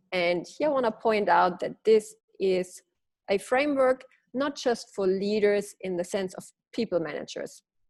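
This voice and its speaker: A woman with a German accent speaks at a moderate pace. Her pitch is medium and her intonation lively. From Germany. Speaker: leadership coach. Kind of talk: webinar presentation. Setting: webinar.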